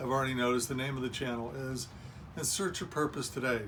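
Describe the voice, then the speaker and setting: A man's medium-pitched voice with audible room echo. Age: 60s. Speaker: self-help video host. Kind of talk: motivational monologue.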